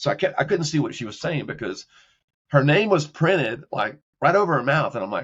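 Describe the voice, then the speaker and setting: A man with an American accent has an ordinary speaking voice, fairly high in pitch. He talks at a fairly quick pace with lively intonation. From Texas, Beaumont. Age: 60s. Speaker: executive career counselor. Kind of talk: casual interview chat. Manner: repetitive, self-correcting.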